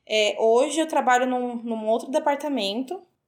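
A woman speaks in a high pitch at a moderate pace. The recording is very clean, with a silent background. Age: 20s. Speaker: travel industry worker. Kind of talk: casual chat.

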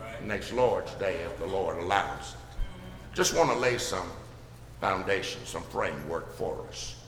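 A man talks at a fairly slow pace in an Alabama accent. Noticeable background noise and audible room echo are present. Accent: Southern US (Alabama). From US South, Birmingham, Alabama. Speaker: pastor. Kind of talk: sermon. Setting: church.

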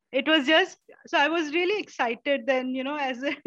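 A woman talks at a fairly quick pace. Her voice is high in pitch, with ordinary variation. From India, Maharashtra (Kerala family). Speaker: self-taught herbalist. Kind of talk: interview.

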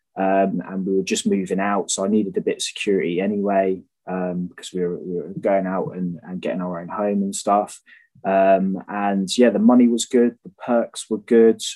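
In a British accent, a man speaks at a moderate pace. His pitch is fairly low and his intonation fairly even. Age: 20s. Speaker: electrician. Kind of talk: casual interview. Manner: hesitant, many fillers.

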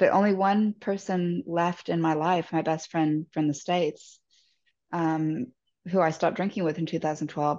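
At a moderate pace, the speaker has a dark, mellow tone and an Australian accent against a quiet background. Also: woman. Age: 40s. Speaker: recovering alcoholic sharing her story. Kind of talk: interview testimony.

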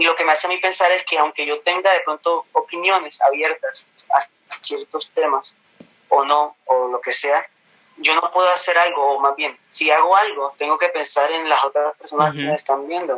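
Here a man speaks at a moderate pace. His intonation is fairly even. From Colombia, Caribbean coast (Cartagena), mother from Bogotá region. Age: 20s. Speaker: pastor's son and church youth leader. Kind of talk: casual interview.

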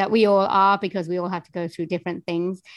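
Against a quiet background, a woman speaks in a Welsh accent. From Wales. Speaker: voiceover artist and singer. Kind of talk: interview, casual chat.

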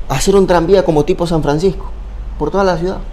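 A man with a high pitch talks at a very fast pace, keeping his intonation fairly even. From Ecuador, Babahoyo (Los Ríos). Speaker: sports journalist and content creator. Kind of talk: casual interview chat.

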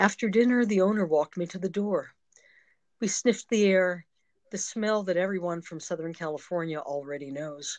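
A normal speaking voice moves at a moderate pace with ordinary pitch variation. Its loudness swings widely. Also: woman, medium pitch for a woman. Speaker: poet and retired psychotherapist. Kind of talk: interview, poem read aloud.

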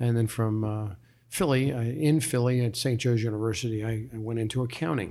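A man with an American accent talks at a fairly quick pace, his medium pitch carrying fairly even intonation. His tone is dark and mellow, with audible room echo around it. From New Jersey. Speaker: mayor. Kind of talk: interview. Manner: halting.

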